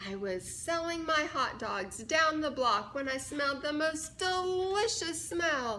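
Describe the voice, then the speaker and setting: A woman uses a put-on character voice pitched high. She speaks at a fairly slow pace over clear background noise. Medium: read story.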